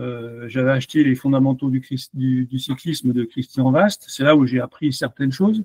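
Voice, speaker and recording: A man with a medium pitch talks at a moderate pace with hardly any pauses. His pitch varies in an ordinary way, and the sound is dry and close with no echo. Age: 60s. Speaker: amateur cyclist, coaching client. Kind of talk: testimonial interview. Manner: hesitant, many fillers.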